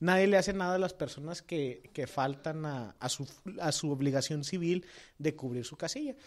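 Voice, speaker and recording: A man with a normal speaking voice, fairly high in pitch, ordinary pitch variation and a moderate pace, on a very clean recording with a silent background. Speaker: political podcast co-host. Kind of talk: casual political discussion.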